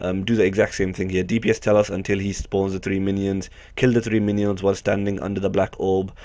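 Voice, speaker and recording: In a very clean recording with a silent background, a man with a fairly low pitch talks at a very fast pace. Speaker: gaming video creator. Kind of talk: game tutorial commentary. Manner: casual with frequent fillers.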